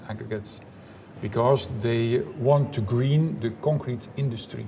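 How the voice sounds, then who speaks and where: Light background noise sits behind a man speaking with a Dutch accent. His intonation is lively. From Belgium, Flanders. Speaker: engineering professor; guest. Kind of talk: interview; interview answer. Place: hall.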